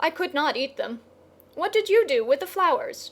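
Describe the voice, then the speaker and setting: Extremely high in pitch, a woman's put-on character voice swings very widely up and down. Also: moderate pace. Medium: read story.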